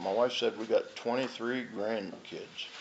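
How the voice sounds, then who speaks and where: Over noticeable background noise, a man talks at a medium pitch and moderate pace with ordinary pitch variation. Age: 60s. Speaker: recovering alcoholic speaker at AA meeting. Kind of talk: recovery testimony.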